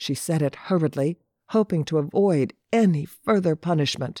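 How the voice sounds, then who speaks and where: In a dramatic tone, a man speaks at a fairly slow pace and fairly high pitch, the very clean recording having a silent background and a dry, close sound with no echo. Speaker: audiobook narrator. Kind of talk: literary audiobook narration. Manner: measured, dramatic storytelling pace with tense, vivid delivery.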